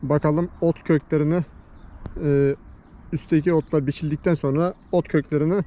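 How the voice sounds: At a moderate pace, a man talks in a dark, mellow tone at a fairly high pitch with fairly even intonation.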